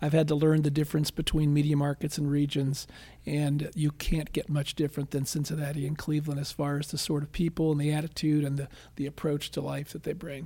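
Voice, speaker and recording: Fairly high in pitch, a man talks at a fairly quick pace with an American accent. His dark, mellow tone is somewhat breathy, with monotone, flat intonation. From Philadelphia area, Pennsylvania. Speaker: political consultant. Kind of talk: interview.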